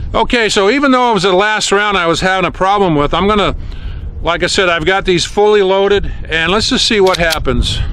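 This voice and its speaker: With noticeable background noise and audible room echo, a man speaks at a fairly quick pace in a high voice, with ordinary pitch variation and very even loudness. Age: 60s. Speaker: gun hobbyist youtuber. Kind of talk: casual tutorial. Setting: outdoors.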